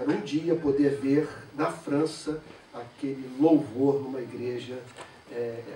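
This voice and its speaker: A man talks at a medium pitch with ordinary pitch variation, with audible room echo and noticeable background noise in the recording. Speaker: pastor. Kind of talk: sermon with consecutive interpretation.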